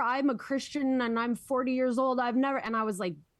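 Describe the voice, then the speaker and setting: A woman speaks with a Minnesotan accent against a quiet background. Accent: Minnesota. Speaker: podcast co-host, former high school English teacher. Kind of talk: casual political discussion.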